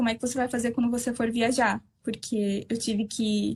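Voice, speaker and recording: At a moderate pace, a woman talks in a high pitch with monotone, flat intonation. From southern Brazil. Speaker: Brazilian expat worker interviewed. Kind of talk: interview. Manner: halting.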